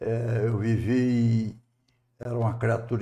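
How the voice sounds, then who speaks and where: Speaking at a very slow pace, a man uses a medium pitch and a dark, mellow tone. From Brazil, Ceará (Tauá, raised in Fortaleza). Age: 80s+. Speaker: retired civil engineer and former public official. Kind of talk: interview.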